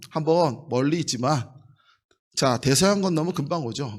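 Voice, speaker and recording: On a very clean recording with a silent background, an ordinary speaking voice proceeds at a fairly quick pace with ordinary pitch variation. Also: man. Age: 50s. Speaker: pastor. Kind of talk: sermon.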